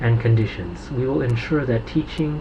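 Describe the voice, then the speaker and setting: A man's medium-pitched voice with an American accent, at a moderate pace, with ordinary pitch variation and noticeable background noise. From United States. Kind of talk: reading a government press release aloud.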